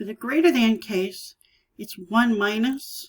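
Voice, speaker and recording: Very slowly, a woman speaks in a somewhat breathy voice with ordinary pitch variation. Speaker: statistics teacher. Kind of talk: tutorial.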